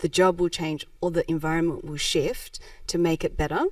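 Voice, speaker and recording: A woman speaks at a moderate pace in an Australian accent. The recording is very clean, with a silent background. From Melbourne, Australia (moved from Japan aged four). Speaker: social enterprise founder. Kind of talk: podcast interview.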